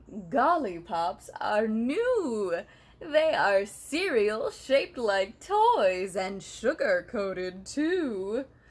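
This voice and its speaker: Putting on a character voice, a woman at a fairly high pitch speaks at a very slow pace with very wide pitch swings and hardly any pauses. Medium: read story.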